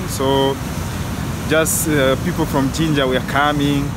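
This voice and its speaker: A man at a moderate pace, dry sound with no echo, loud background noise. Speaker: travel vlogger. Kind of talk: casual vlog chat. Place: street. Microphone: phone near.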